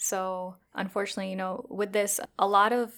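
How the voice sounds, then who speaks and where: A woman with a Chicago accent talks at medium pitch and a moderate pace. The recording is very clean, with a silent background. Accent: Chicago American. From Chicago, US. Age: 20s. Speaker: psychiatry resident. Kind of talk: interview.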